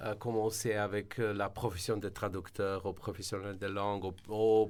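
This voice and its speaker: A man's fairly low-pitched voice in a monotone, flat intonation, on a very clean recording with a silent background. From Slovenia. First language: Slovene (speaking French). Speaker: translation service director. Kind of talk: radio interview. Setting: radio studio. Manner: halting, many fillers.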